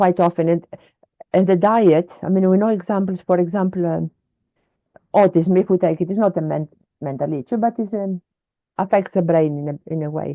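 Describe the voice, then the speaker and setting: This woman speaks at a fairly quick pace with a fairly low pitch and fairly even intonation. Her speech has long, frequent pauses. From Greece. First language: Greek. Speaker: wellness advocate. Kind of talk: interview conversation. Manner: halting.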